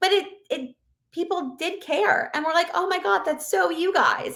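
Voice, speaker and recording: A woman projects a raised voice with a bright, sharp tone. She speaks at a fairly slow pace on a very clean recording with a silent background. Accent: American. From Pennsylvania, US. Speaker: innkeeper. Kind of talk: casual interview chat. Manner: animated.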